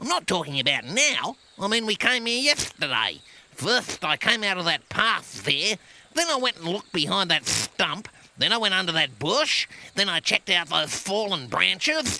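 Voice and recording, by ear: The speaker uses a cartoonish character voice. It sits at a middle pitch. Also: moderate pace.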